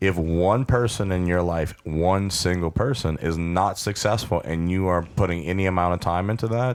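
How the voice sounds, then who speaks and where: A man talks at a moderate pace. His pitch is very deep and low. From Louisiana bayou. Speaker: podcast host. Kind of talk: encouraging pep talk; casual chat. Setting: studio.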